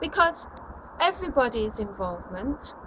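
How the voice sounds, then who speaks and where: With a South Yorkshire accent, a woman speaks at a high pitch against noticeable background noise. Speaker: anti-austerity campaigner. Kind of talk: campaign video address. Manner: formal.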